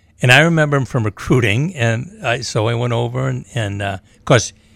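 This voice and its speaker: A man talks at a moderate pace with vocal fry and lively intonation. The recording is very clean, with a silent background. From Maine, US. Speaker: sports analyst and former coach. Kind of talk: casual sports talk radio. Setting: studio.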